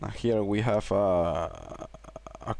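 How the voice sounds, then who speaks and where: There's noticeable background noise. A man talks with a non-native accent. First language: Spanish. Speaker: tech tutorial creator. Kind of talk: tutorial. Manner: halting, many fillers.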